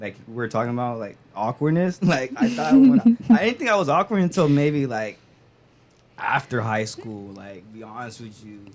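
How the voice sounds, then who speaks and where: With an American accent, a man speaks at a moderate pace and medium pitch, using lively intonation and big swings in loudness against noticeable background noise. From Stockton, California. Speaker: podcast guest, college student. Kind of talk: casual chat. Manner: halting, many fillers.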